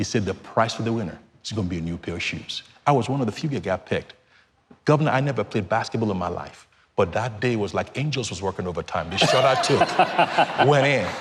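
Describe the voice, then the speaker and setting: A man talks very fast in a Nigerian accent with lively intonation. His voice is medium in pitch and somewhat breathy. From Nigeria, Lagos. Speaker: charity founder. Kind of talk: TV interview.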